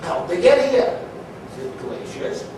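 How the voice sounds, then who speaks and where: Noticeable background noise runs under a man speaking with a Maine accent. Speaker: storyteller, comedian. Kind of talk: comedic storytelling to an audience, tall tale. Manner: folksy, chatty, humorous.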